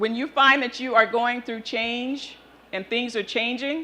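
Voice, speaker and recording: A woman speaks very slowly in a fairly high pitch with a bright, sharp tone. Her intonation stays fairly even. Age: 60s. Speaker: motivational speaker, nonprofit founder. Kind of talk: keynote talk.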